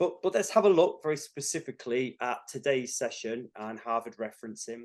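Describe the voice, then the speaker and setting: Speaking at a fairly quick pace with a northern accent, a man keeps a medium pitch against a quiet background. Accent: a bit northern. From northern England, Cumbria. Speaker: tutor. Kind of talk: webinar lecture. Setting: online webinar.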